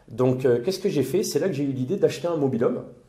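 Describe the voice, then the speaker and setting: A man with ordinary pitch variation and audible room echo. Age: 30s. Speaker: property investor and temp worker. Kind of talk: interview testimony.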